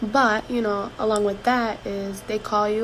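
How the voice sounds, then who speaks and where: Noticeable background noise runs under the recording. Over it, a woman speaks with monotone, flat intonation. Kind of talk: casual talk to camera. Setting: break room at work. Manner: whispered.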